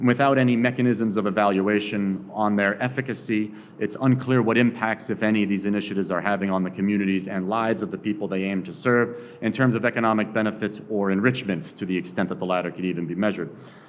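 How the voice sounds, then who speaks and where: A fairly low-pitched man at a very fast pace with hardly any pauses, fairly even intonation and audible room echo. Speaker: sociologist. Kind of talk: lecture.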